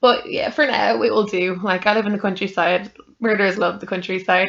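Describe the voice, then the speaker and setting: A woman speaks with an Irish accent in a bright, sharp tone. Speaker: podcaster. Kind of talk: casual chat. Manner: rambling conversational, many fillers.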